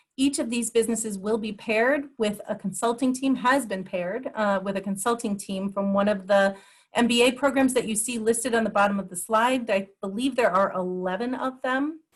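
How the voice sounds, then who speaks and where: Somewhat breathy, the voice moves at a fairly quick pace with hardly any pauses and ordinary pitch variation. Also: woman, fairly high pitch for a woman. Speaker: program presenter. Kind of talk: webinar presentation.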